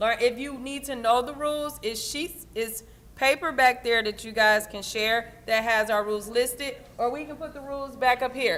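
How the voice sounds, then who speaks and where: A woman with a high pitch talks at a moderate pace, her intonation fairly even but her loudness swinging widely. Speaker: union event organizer. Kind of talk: instructions to volunteers at an event. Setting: union hall with audience.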